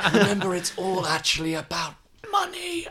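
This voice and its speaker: A raspy put-on character voice at a middle pitch and moderate pace. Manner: ghostly.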